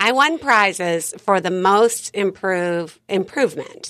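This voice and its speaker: Recorded very cleanly against a silent background, a woman with a medium-pitched voice speaks in a plain, everyday voice with lively intonation. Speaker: life coach. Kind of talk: casual interview chat.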